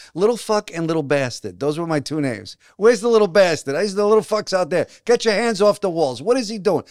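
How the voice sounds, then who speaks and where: Speaking very fast in a Brooklyn accent, a man with a high pitch and lively intonation comes through in a dry, close sound with no echo. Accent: New York, Brooklyn. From Brooklyn and New Jersey, US. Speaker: actor and playwright. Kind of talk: casual interview.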